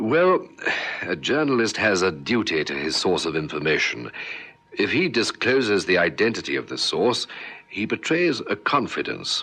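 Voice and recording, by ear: Doing a put-on character voice, a man speaks at a low pitch and moderate pace with a bright, sharp tone, a slightly husky edge and big pitch swings.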